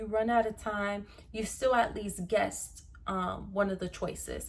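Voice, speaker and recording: A woman's somewhat breathy voice holds a moderate pace. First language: Spanish. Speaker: pre-nursing student and YouTuber. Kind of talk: tutorial. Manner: casual, conversational.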